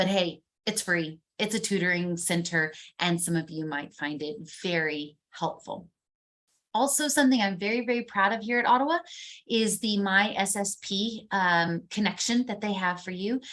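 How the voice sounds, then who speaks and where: A woman talks at a moderate pace with ordinary pitch variation. Hers is a normal speaking voice, medium in pitch. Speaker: university instructor. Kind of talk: online class lecture. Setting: recorded video call. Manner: casual and upbeat.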